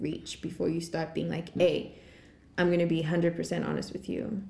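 A woman speaks with vocal fry in a dark, mellow tone at a fairly low pitch. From Zimbabwe. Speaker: podcast host. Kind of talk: casual chat. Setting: studio.

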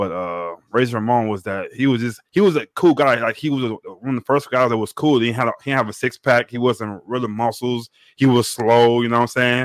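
In a plain, everyday voice with an American accent, a man speaks at a fairly quick pace and medium pitch, with ordinary pitch variation and hardly any pauses, on a very clean recording with a silent background and a dry, close sound with no echo. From Texas (Beaumont). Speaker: podcast panelist. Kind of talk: casual sports chat.

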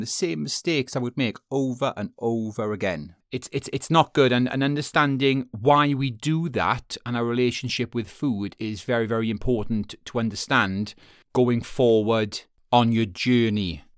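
In a Welsh accent, a man at medium pitch talks at a moderate pace with hardly any pauses and lively intonation, recorded very cleanly against a silent background. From Wales. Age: 30s. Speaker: podcast host. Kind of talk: solo podcast monologue. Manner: casual, with frequent fillers.

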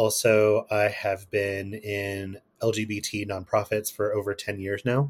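A man talks at a fairly slow pace, somewhat breathy and fairly low-pitched, with monotone, flat intonation. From Kentucky, US. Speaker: guest, astrology and queer topics. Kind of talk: casual interview chat.

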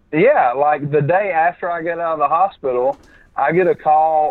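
A man's fairly high-pitched voice in a Southern US accent. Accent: Southern American. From Alabama. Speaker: podcast guest, film writer and director.

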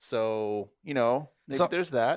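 With an ordinary speaking voice, this man talks at a medium pitch and with lively intonation. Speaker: podcast co-host, music reviewer. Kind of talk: casual conversational. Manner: casual, laid-back.

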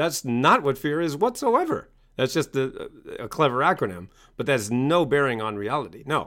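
Bright and sharp in tone, a man with an American accent talks at a moderate pace with fairly high pitch and lively intonation. The recording is very clean, with a silent background. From US Northeast (Maine). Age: 50s. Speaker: self-help author and coach. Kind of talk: interview.

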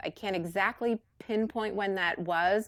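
A woman with a normal speaking voice talks at a fairly slow pace with fairly even intonation. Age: 50s. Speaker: author. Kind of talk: casual chat.

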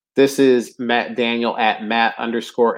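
At a moderate pace, a man talks in a normal speaking voice with a medium pitch. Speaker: fantasy football podcast host. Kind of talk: casual chat. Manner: casual, talkative.

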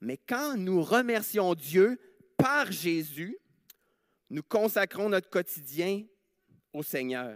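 A man with a high pitch speaks at a very slow pace, his pitch swinging very widely and his speech broken by long, frequent pauses. The sound is dry and close with no echo, on a very clean recording with a silent background. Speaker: preacher. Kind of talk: sermon in church, with prayers. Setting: church. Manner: earnest, conversational, often hesitant with fillers.

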